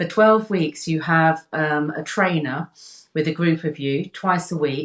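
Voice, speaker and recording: A British accent comes through. Delivery moves at a fairly slow pace. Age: 60s. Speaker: health coach. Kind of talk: casual interview chat. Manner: halting, many repetitions.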